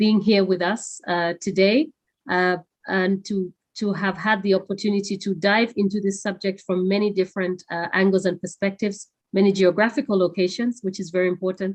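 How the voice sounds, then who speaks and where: This woman talks at a moderate pace with a medium pitch and fairly even intonation. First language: not English. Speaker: webinar moderator. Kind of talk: closing remarks of a webinar. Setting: online webinar. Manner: halting, many fillers.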